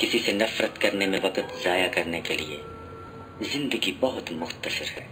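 Music plays in the background as a man talks with a very deep, low pitch and ordinary pitch variation. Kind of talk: motivational quotes reading.

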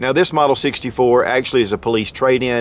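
A man at a fairly quick pace with ordinary pitch variation, in a dry sound with no echo and light background noise. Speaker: firearms reviewer. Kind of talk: product review talk. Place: open country.

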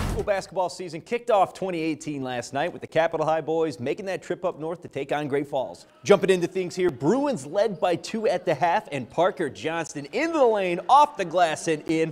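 A man's high voice at a moderate pace, lively in intonation, with hardly any pauses and noticeable background noise. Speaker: sportscaster. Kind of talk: TV sports news reporting.

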